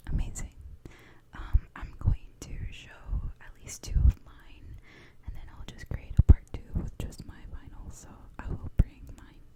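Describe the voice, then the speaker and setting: A woman's whisper at a fairly slow pace, with big swings in loudness and long, frequent pauses. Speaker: ASMR channel host. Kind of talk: ASMR show and tell.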